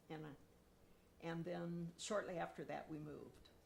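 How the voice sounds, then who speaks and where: Audible room echo surrounds a woman with an American accent. She speaks at a moderate pace. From Nebraska, rural US Midwest. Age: 70s. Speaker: interviewee, neighborhood resident. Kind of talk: oral history interview.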